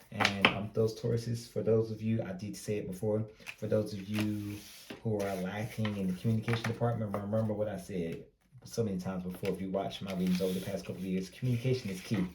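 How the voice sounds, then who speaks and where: The voice is somewhat breathy, with an American accent. It moves at a very fast pace. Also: man, fairly low pitch for a man. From US South, Greenville, North Carolina. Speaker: tarot reader. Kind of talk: tarot reading. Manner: casual, conversational.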